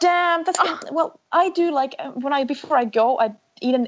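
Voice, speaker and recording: With a Finnish accent, a woman speaks using lively intonation. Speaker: researcher and endurance runner. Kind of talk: interview.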